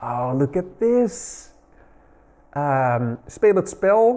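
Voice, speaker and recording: Speaking with a Dutch accent, a man with a dark, mellow tone and a fairly high pitch makes very wide pitch swings. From Netherlands. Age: 40s. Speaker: retro gaming YouTuber. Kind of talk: casual video narration.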